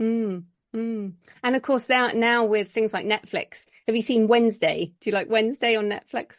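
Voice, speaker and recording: A woman with an English accent speaks at a moderate pace and fairly high pitch with fairly even intonation, dry and close with no echo against a quiet background. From England. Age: 40s. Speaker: author. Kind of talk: interview.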